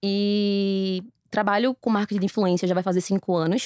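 Fairly even in intonation, the voice has a dry, close sound with no echo on a very clean recording with a silent background. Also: woman. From Recife, Brazil. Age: 30s. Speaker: influencer marketing entrepreneur. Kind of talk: casual interview.

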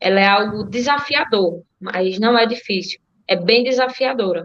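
A woman in an ordinary speaking voice talks at a fairly high pitch with fairly even intonation. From Alagoas, Brazil (Delmiro Gouveia). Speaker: marathon runner. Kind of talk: interview. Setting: video call.

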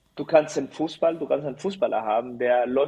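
Keeping a moderate pace, a man speaks in a Spanish accent. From Chile. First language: Spanish (speaking German). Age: 30s. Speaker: volleyball player. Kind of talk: interview. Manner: halting.

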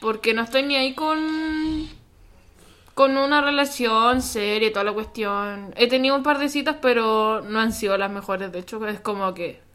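This woman's voice sits at a fairly high pitch with a bright, sharp tone, ordinary pitch variation, and a fairly slow pace. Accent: Chilean. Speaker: podcast co-host. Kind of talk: casual chat.

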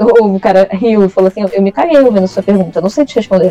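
Noticeable background noise accompanies a woman whose medium pitch carries ordinary pitch variation. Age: 20s. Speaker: writer and creative writing teacher. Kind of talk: casual interview.

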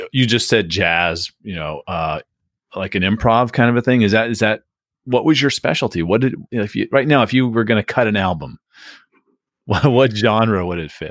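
A plain, everyday voice: a man with an American accent, fairly low pitch and ordinary pitch variation, at a moderate pace, in a dry, close sound with no echo. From US West Coast, San Diego. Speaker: podcast host, real estate industry executive. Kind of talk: interview conversation.

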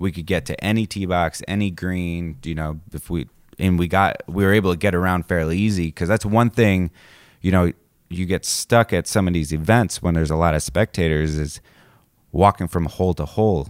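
Very deep and low in pitch, a man speaks at a moderate pace in an American accent. The recording is very clean, with a silent background. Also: fairly even intonation, dry, close sound with no echo. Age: 20s. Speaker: podcast co-host. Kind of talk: casual chat.

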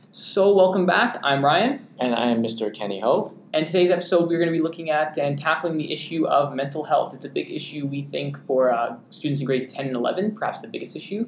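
This man has a normal speaking voice with a fairly high pitch. His intonation is lively and he hardly pauses at all. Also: fairly quick pace. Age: young. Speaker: student podcast host. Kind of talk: casual chat.

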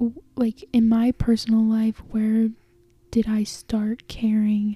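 Soft-spoken and somewhat breathy, a woman speaks at a very slow pace in a fairly high pitch with a dark, mellow tone, in a dry, close sound with no echo. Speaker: solo podcaster. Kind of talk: casual personal monologue. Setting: sitting in bed at home. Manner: soft-spoken, talking quietly; filler-heavy, casual.

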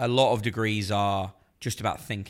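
In a very clean recording with a silent background, a man with an English accent talks at a fairly low pitch with fairly even intonation. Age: 30s. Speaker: journalist. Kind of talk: casual chat.

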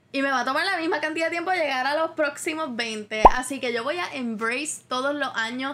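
Noticeable background noise sits behind a woman whose high pitch shows ordinary variation as she talks at a fairly quick pace with very even loudness and hardly any pauses. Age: 20s. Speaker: podcast host. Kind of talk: solo monologue podcast.

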